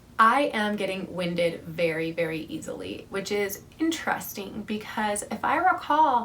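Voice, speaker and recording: A woman talks in a fairly high voice with very wide pitch swings. Room echo is audible, and background noise is noticeable. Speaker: vlogger. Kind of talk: casual vlog update.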